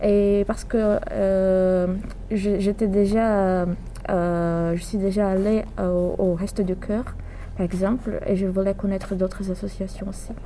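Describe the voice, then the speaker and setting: A woman speaks in a Portuguese accent at a very slow pace and medium pitch with monotone, flat intonation, amid audible room echo and noticeable background noise. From Brazil. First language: Portuguese (speaking French). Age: 20s. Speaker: psychology student. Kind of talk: interview. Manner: halting.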